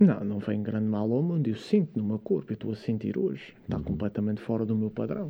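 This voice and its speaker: Talking very fast with hardly a break, a man with a fairly low voice and a dark, mellow tone keeps his intonation lively. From Madeira, Portugal. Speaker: fitness and science content creator. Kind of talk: casual interview. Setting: studio.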